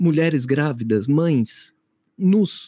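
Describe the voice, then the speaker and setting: The tone is dark and mellow, and the pace is very slow. The sound is dry and close, with no echo. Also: man. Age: 30s. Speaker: co-host, theatre actor. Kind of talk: casual chat.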